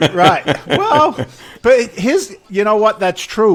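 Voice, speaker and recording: A man speaks in a London accent. His pace is fairly slow. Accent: English, London area. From England. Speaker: real estate investor. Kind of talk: casual interview. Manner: animated.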